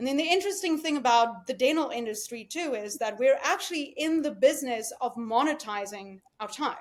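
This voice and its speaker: Barely pausing, a woman with a high pitch and a South African accent speaks at a fairly quick pace with lively intonation. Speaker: dental practice executive. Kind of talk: podcast interview.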